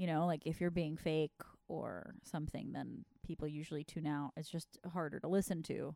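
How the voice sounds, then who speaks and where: A woman speaks with a very deep, low pitch and a dark, mellow tone. Her intonation is fairly even, and the sound is dry and close with no echo. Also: moderate pace. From Mexico. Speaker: podcast host and comedian. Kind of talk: casual banter between co-hosts. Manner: interrupts herself mid-thought.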